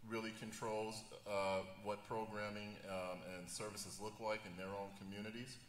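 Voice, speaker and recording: Over noticeable background noise and audible room echo, a man with a fairly low pitch talks at a moderate pace in a monotone, flat intonation. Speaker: juvenile justice professional. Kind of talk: panel discussion. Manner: halting, many fillers.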